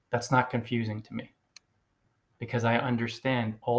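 Speaking with an American accent, a man uses a medium pitch and a somewhat breathy voice in a monotone, flat intonation. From US, New Jersey. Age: 40s. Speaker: blogging coach, podcaster. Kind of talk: solo monologue, advice podcast. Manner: emphatic, repetitive.

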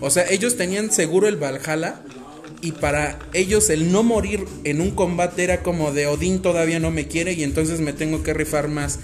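A fairly high-pitched man with an animated tone and ordinary pitch variation, with audible room echo and noticeable background noise. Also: moderate pace. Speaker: podcast host. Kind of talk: casual chat.

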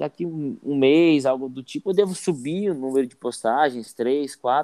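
Here a man with a dark, mellow tone speaks at a fairly high pitch. His intonation is lively and his pace moderate. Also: dry, close sound with no echo. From Brazilian Northeast. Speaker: podcast co-host and YouTuber. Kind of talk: casual chat.

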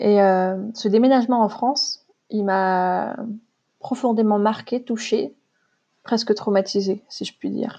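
At a very slow pace with long, frequent pauses, a woman speaks in a dark, mellow tone at a fairly high pitch. Her pitch varies in an ordinary way against a quiet background. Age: 30s. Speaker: podcast host, spiritual coach. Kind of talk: personal monologue, testimony. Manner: spontaneous, hesitant with fillers.

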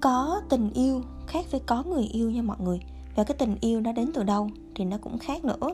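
A woman keeps a moderate pace while music sounds behind her. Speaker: podcast host. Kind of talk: personal monologue. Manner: casual chatty.

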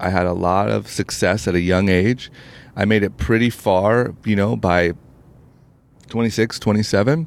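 A man with an American accent talks at a fairly slow pace in a fairly low voice. His is a plain, everyday voice, heard on a very clean recording with a silent background. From Ohio, US Midwest. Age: 30s. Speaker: entrepreneur and podcast host. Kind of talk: interview conversation.

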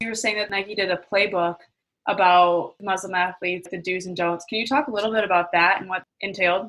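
Here is a woman with an ordinary speaking voice at medium pitch. Her intonation is fairly even and her pace fairly quick. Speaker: podcast host. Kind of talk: casual interview chat.

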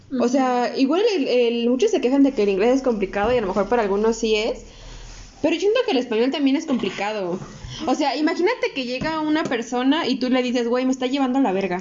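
A woman's high-pitched voice, very fast and with lively intonation, over noticeable background noise. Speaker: podcast co-host. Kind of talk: casual chat.

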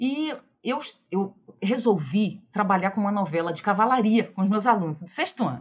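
Intonation is lively and the pace moderate. The voice carries a somewhat breathy quality. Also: woman, medium pitch for a woman. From Rio de Janeiro, Brazil. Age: 40s. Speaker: history professor. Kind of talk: interview.

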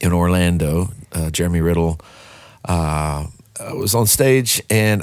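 The speaker has a Texan accent and ordinary pitch variation. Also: man. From Texarkana, Texas. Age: 40s. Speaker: worship pastor and songwriter. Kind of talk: casual interview.

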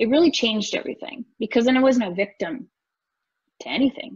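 A woman speaks at a fairly quick pace with a Canadian Prairie accent. Her voice is somewhat breathy. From rural northern Alberta, Canada. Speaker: real estate investor and coach. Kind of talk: podcast interview.

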